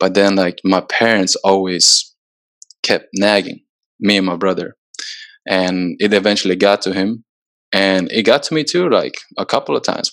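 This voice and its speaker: With a Swedish accent, a man speaks in a fairly low pitch with fairly even intonation. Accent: Swedish-tinged American English. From Sweden, moved to US at 14. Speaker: soccer player. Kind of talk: casual chat. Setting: video call.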